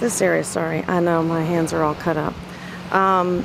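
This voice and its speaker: Noticeable background noise accompanies a woman's voice, and the sound is dry with no echo. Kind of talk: tutorial. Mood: enthusiastic, delighted. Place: beach. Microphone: phone near.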